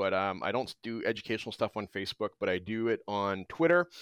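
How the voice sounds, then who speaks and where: With a Canadian accent, a man uses a plain, everyday voice at a medium pitch and a fairly quick pace with lively intonation. The sound is dry and close with no echo, in a very clean recording with a silent background. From Alberta, Canada. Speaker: teacher, former pharmaceutical chemist. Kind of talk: casual interview chat.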